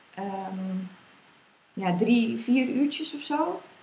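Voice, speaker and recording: Audible room echo follows a woman who speaks at a very slow pace with lively intonation. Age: 20s. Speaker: mother sharing birth story. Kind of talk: interview testimony. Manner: hesitant, many fillers.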